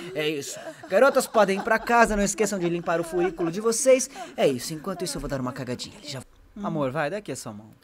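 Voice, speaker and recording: A man puts on a character voice with a high pitch. He speaks at a very fast pace. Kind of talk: comedic animal dub. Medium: dub.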